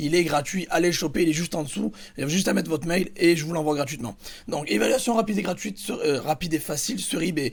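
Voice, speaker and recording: Animated and lively in intonation, a man with a fairly high pitch and vocal fry talks at a very fast pace. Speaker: YouTuber teaching eBay dropshipping. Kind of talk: tutorial.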